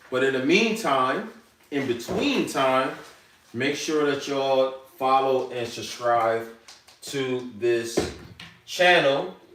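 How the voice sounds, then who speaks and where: A man at a medium pitch and a very slow pace, with long, frequent pauses, audible room echo and noticeable background noise. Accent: American. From New York. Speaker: chef. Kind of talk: live cooking demonstration. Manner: casual, conversational.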